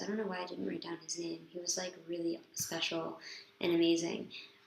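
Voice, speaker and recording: A woman talks, and audible room echo trails her words. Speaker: vlogger, yeshiva student. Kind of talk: casual video diary monologue. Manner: hesitant, many fillers.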